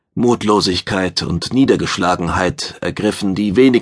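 Pitch varies in an ordinary way. The text is read aloud in a natural voice.

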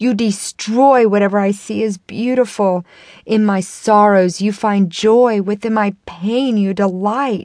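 Against a quiet background, a woman with a medium pitch speaks in an intense tone with ordinary pitch variation. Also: hardly any pauses. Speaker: audiobook narrator. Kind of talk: audiobook reading of spoken-word poetry, an anguished accusatory monologue. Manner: intense and impassioned, building bitter rhetorical force.

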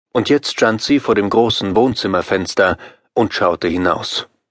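In a plain, everyday voice, a man speaks at a moderate pace with ordinary pitch variation, dry and close with no echo. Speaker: audiobook narrator. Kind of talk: dramatic scripted narration, audiobook horror story. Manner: suspenseful, vivid, building tension.

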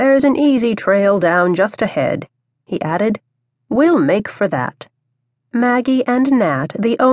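Someone reads aloud plainly. Little can be heard behind the voice.

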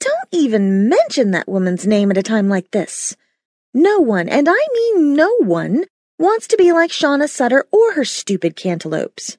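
Putting on a shrill character voice, a woman speaks high and at a moderate pace, her pitch swinging very widely. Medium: read story. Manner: loud, blunt, profane.

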